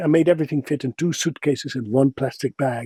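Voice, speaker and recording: In a Dutch accent, a man speaks at a fairly quick pace, the sound dry and close with no echo. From Netherlands. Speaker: voice actor. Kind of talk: interview answer.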